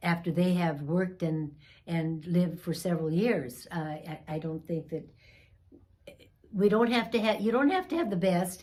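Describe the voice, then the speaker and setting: Over noticeable background noise, a woman talks at a fairly slow pace with medium pitch and ordinary pitch variation. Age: 80s+. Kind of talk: interview answer.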